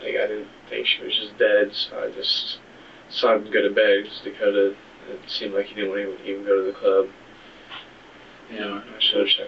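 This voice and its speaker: Soft-spoken and fairly quick, the man leaves long, frequent pauses while his loudness swings widely. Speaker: suspect in interrogation. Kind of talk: police interrogation. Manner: halting.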